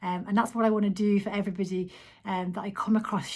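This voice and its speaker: A somewhat breathy voice with a Manx accent and monotone, flat intonation, on a very clean recording against a silent background. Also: woman. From Isle of Man. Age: 40s. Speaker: vlogger. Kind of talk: casual vlog monologue. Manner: hesitant, frequent ums.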